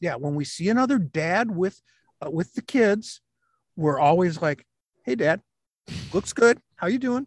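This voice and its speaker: Speaking with an Upper Midwest accent, a man with a high pitch talks at a fairly slow pace, his pitch swinging very widely between long, frequent pauses. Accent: Upper Midwest American. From Michigan, Flint. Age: 60s. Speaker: stay-at-home dad, author and science teacher. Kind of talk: casual interview.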